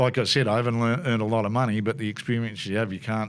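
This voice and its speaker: A man at medium pitch with an Australian accent, talking at a very fast pace. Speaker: motorsport commentator. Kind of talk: casual chat. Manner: animated.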